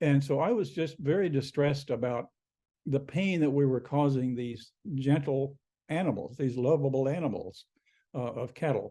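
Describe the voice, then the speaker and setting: Dark and mellow in tone, a man's fairly high voice moves at a moderate pace with ordinary pitch variation. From US Midwest, rural Missouri. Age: 70s. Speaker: author. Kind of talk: interview.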